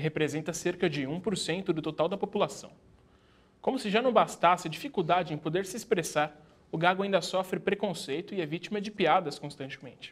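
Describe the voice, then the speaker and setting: Here a man talks with a high pitch and ordinary pitch variation. His pace is fairly quick. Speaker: TV program host. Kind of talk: TV show presenting.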